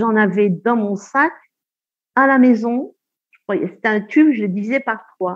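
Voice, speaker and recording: Speaking at a fairly slow pace with long, frequent pauses, a woman uses a fairly high pitch with ordinary pitch variation and big swings in loudness. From Algeria. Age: 60s. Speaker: retired midwife. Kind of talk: testimony.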